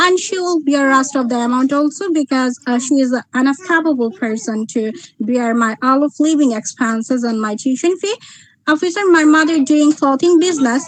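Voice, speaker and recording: Moderate pace and ordinary pitch variation. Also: woman, high pitch for a woman. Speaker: student visa applicant. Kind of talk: mock visa interview. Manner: halting, many fillers.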